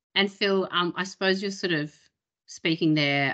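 Against a quiet background, a woman with an Australian accent speaks at a moderate pace with fairly even intonation. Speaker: webinar host. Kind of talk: webinar presentation. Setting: video call. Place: home room. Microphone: video call.

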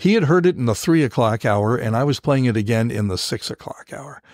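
A man with an unremarkable speaking voice talks at a fairly quick pace, with medium pitch and ordinary pitch variation, in a very clean recording with a silent background. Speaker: veteran radio broadcaster and podcast host. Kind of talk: interview answer, storytelling.

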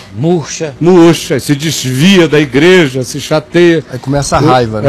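With ordinary pitch variation, this man delivers his words at a moderate pace. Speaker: talk show host or pastor. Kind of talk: interview answer. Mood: animated, humorous at times. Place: home room.

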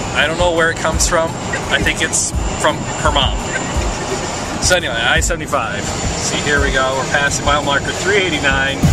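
Over music in the background, a man speaks at a fairly quick pace, the sound dry with no echo. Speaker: pastor filming a road trip. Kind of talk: casual vlog chat. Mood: joking, playful. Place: car. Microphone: phone near.

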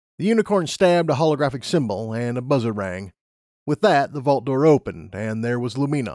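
Lively intonation in plain reading aloud, set against a quiet backdrop

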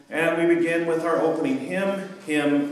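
Strong room echo surrounds the voice. A man speaks with lively intonation. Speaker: pastor. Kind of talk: service welcome announcements. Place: church. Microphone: camera far.

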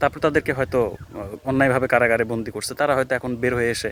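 With an unremarkable speaking voice and fairly even intonation, a man talks in a dry, close sound with no echo. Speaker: YouTuber. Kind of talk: opinion vlog monologue.

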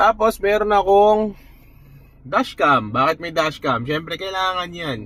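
A man speaks with lively intonation. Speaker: car vlogger. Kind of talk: casual car review vlog. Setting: in a car.

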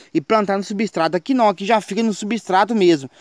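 Against a quiet background, a man with a high pitch and an animated tone speaks at a moderate pace with ordinary pitch variation, in a dry sound with no echo. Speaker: gardening YouTuber. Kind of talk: tutorial. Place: garden. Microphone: phone near.

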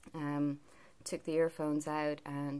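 A woman's very deep, low voice, fairly slow and monotone, flat in intonation. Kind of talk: casual vlog chat. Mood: calm, reflective. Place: home room. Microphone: phone near.

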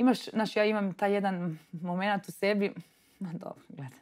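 In quiet surroundings, a woman speaks at a moderate speed. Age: 30s. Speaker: entrepreneur, media founder; podcast guest. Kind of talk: interview. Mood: relaxed, lively storytelling. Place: studio.

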